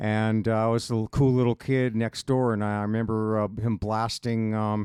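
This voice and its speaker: A man with an American accent speaks at medium pitch and a moderate pace in monotone, flat intonation. The sound is dry and close with no echo, over a quiet background. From US West Coast, Los Angeles County, California. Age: 60s. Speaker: drummer and drum shop owner. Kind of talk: casual chat.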